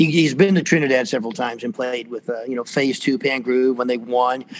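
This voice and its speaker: In an American accent, a man speaks at a medium pitch and moderate pace with fairly even intonation, with noticeable background noise behind him. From US South, Atlanta area, Georgia. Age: 60s. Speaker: percussion professor and percussionist. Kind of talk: casual interview. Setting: video call.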